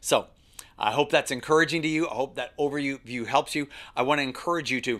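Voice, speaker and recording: On a very clean recording with a silent background, a man talks very fast in a fairly high pitch. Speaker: ministry leadership trainer. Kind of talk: training lesson. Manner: animated.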